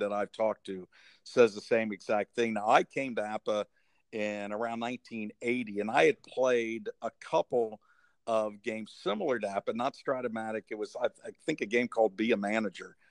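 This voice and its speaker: In a dry, close sound with no echo and a quiet background, a man uses an ordinary speaking voice at medium pitch and a moderate pace, with ordinary pitch variation and big swings in loudness. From Cincinnati, Ohio. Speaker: podcast host. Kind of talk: casual interview chat.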